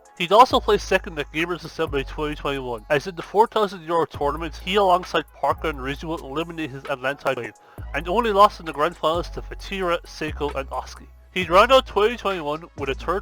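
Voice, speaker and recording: A man with a strong Irish accent talking at a very fast pace over music in the background. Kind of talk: esports video essay narration. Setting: headset mic.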